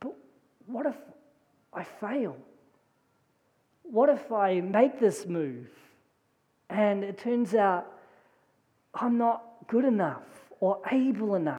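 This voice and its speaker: A woman's put-on character voice, shaky and anxious, fairly high-pitched with lively intonation, at a fairly slow pace with long, frequent pauses. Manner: anxious, doubting.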